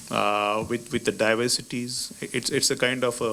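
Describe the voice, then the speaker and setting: A man with an Indian accent speaks with fairly even intonation. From India, Maharashtra. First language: Marathi. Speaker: ambassador. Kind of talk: lecture. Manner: halting.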